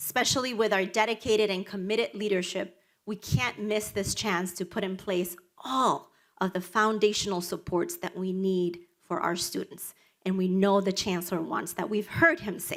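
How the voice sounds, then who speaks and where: A woman with a Spanish accent speaks at medium pitch and a moderate pace. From Dominican Republic, raised in Washington Heights, New York City. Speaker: nonprofit executive director. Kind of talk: prepared speech.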